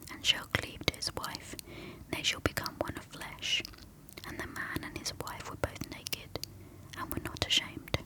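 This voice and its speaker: A woman whispers with a British accent at a moderate pace. Background noise is noticeable. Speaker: ASMR creator. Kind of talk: reading aloud. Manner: whispering.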